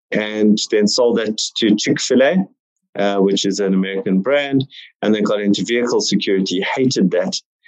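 At a fairly quick pace, a man with a fairly low voice speaks with fairly even intonation. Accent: South African. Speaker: entrepreneur. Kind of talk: casual interview chat.

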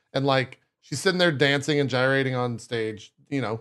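The speaker moves at a fairly quick pace with ordinary pitch variation. The background is quiet. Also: man. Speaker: podcast host. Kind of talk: casual chat. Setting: livestream. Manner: animated.

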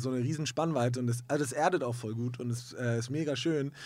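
A man speaks in a normal speaking voice at a medium pitch with fairly even intonation, on a very clean recording with a silent background. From Hamburg, northern Germany. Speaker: musician. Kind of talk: interview. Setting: studio.

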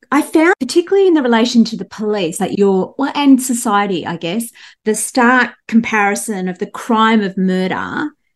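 An ordinary speaking voice with ordinary pitch variation is heard here. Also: woman. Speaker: guest host and crime writer. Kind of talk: interview chat.

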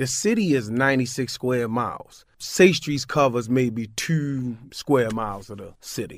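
On a very clean recording with a silent background, a man speaks at a fairly slow pace with hardly any pauses. His pitch is medium with ordinary variation, and his loudness swings widely. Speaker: violence intervention worker. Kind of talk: radio interview. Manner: casual, laughs often.

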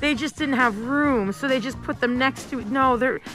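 A woman with a high pitch speaks over music in the background. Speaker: morning radio show host. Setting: radio studio.

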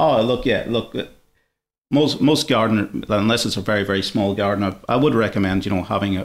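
A man speaks very fast with an Irish accent. His voice is fairly low, and the recording is very clean with a silent background. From Ireland. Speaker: botanic garden curator manager. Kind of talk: interview.

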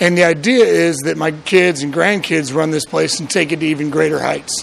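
A man's fairly high voice moves at a moderate pace, with noticeable background noise behind it. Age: 30s. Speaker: distillery owner. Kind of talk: interview.

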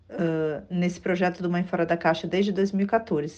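Her tone is dark and mellow. The woman's intonation stays monotone and flat. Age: 40s. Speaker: author and speech therapist. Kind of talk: interview. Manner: hesitant, many fillers.

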